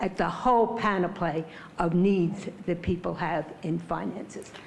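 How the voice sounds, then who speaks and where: Noticeable background noise runs under this clip. A woman talks at a moderate pace in a medium pitch. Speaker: public commenter at hearing. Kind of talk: public comment at hearing. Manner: loud.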